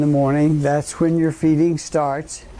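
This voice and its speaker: This man's voice sits at a fairly high pitch. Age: 80s+. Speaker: physician. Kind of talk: lecture. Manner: halting, many fillers.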